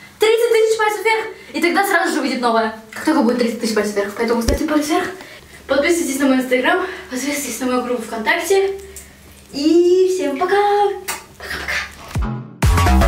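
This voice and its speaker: A woman at a high pitch and a fairly quick pace, with audible room echo and light background noise. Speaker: youtuber. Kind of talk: casual vlog chat. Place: bathroom.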